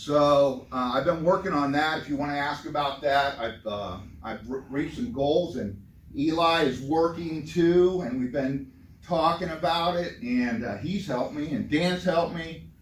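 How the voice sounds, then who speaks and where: There is audible room echo as a man talks with a fairly high pitch. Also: ordinary pitch variation, moderate pace. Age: 60s. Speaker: retiring worker giving a talk. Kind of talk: informal talk to a group. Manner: casual.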